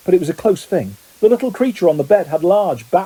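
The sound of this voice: Reading done in an unforced voice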